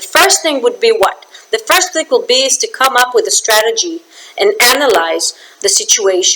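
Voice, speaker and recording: A woman's raised, projected voice, high in pitch with very wide pitch swings, at a moderate pace amid noticeable background noise. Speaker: business communication trainer. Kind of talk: promotional talk to camera. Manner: animated.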